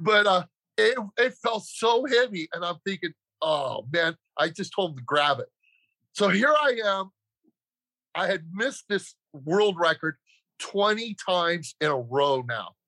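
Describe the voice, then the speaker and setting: In a raised, projected voice with a bright, sharp tone, a man speaks at a high pitch with very wide swings, at a fairly slow pace broken by long, frequent pauses. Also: dry, close sound with no echo. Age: 60s. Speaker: powerlifter and strength coach. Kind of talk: interview testimony.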